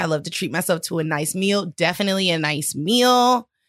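A woman with an ordinary speaking voice, fairly low in pitch, at a fairly quick pace with lively intonation. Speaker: podcast host. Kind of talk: casual chat.

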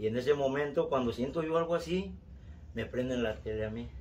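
Dark, mellow and somewhat breathy, a man's voice moves at a fairly quick pace with ordinary pitch variation. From Mexico City. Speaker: storyteller, relative of host. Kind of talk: recorded testimony.

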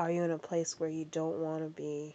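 Gentle and warm in tone, a woman speaks at a fairly low pitch in a monotone, flat delivery. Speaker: podcast host leading meditation. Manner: gentle, paced and coaching, with slow directive cues and counted breaths; warm, friendly and encouraging, casual address to listeners.

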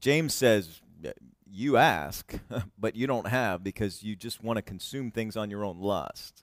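Lively intonation marks the fairly slow delivery of a man who has an unremarkable speaking voice. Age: 40s. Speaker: pastor. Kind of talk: sermon. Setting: church.

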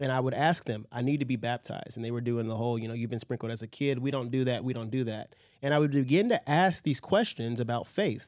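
With an American accent, a man rattles along at a very fast pace with hardly any pauses, his medium pitch showing ordinary variation on a very clean recording with a silent background. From Nigeria. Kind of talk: testimony.

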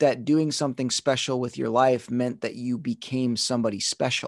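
A man with a plain, everyday voice and medium pitch speaks at a moderate pace with ordinary pitch variation, in a dry, close sound with no echo against a quiet background. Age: 30s. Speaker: dancer and motivational speaker. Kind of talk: casual interview.

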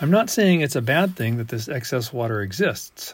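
A man speaks in a somewhat breathy voice at a medium pitch and moderate pace, on a very clean recording with a silent background. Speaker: water rights engineer. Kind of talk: scripted narration.

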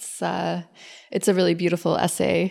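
In a very clean recording with a silent background, a woman speaks with an American accent. She has a normal speaking voice, a fairly low pitch and fairly even intonation. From US South. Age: 40s. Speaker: painter. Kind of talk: casual interview. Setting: artist's studio.

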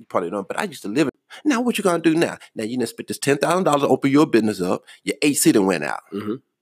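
A man's very fast speech with vocal fry and very wide pitch swings on a very clean recording with a silent background. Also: dry, close sound with no echo. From Charlotte, North Carolina. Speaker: entrepreneur and travel enthusiast. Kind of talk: casual chat. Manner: animated.

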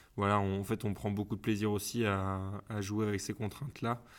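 A man speaks at a moderate pace and fairly low pitch in a monotone, flat intonation. The recording is very clean, with a silent background. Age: 20s. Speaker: food market co-founder. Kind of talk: interview. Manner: hesitant, many fillers.

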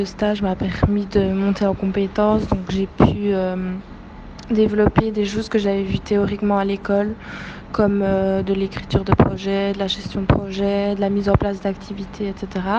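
A woman at a fairly slow pace, monotone and flat, over noticeable background noise. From Belgium. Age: 20s. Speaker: former intern, NGO communications worker. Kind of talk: testimony. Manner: hesitant, many fillers.

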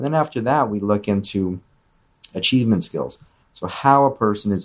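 A man speaks at a fairly quick pace in a plain, everyday voice. His pitch is fairly low. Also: quiet background. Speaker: clinical psychologist. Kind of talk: interview, casual professional conversation. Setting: video or phone call.

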